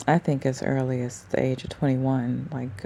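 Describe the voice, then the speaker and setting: A soft-spoken woman at a moderate pace, very deep and low in pitch, with fairly even intonation and noticeable background noise. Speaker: vlogger. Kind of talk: casual monologue vlog. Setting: at home at night before sleep. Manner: soft-spoken, talking low.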